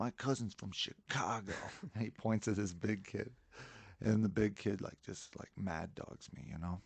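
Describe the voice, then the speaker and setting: A man with an American accent has a fairly low pitch and ordinary pitch variation. He uses a plain, everyday voice at a moderate pace. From Colorado. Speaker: musician. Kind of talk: casual chat.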